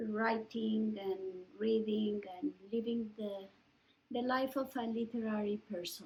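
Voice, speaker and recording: A woman with a Mexican accent speaks at a fairly high pitch in a flat, monotone intonation. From Mexico, Mexico City. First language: Spanish. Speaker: writer and professor. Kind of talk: oral history interview. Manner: halting, with many fillers.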